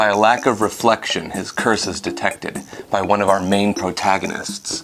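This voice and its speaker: Music plays behind speech delivered at a moderate pace. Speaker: video reviewer. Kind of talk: movie recap and review narration. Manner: sarcastic, playful.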